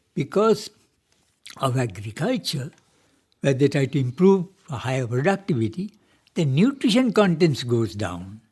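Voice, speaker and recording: At a moderate pace, a man with a fairly high, somewhat breathy voice makes very wide pitch swings and leaves long, frequent pauses. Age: 80s+. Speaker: retired marine engineer and music pioneer. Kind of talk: radio interview.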